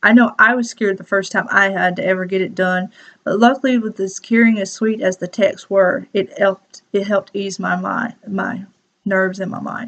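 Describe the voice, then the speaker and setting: Using a Southern US accent, a woman speaks at a medium pitch and moderate pace with fairly even intonation. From US South, South Carolina. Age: 20s. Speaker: student. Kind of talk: class presentation.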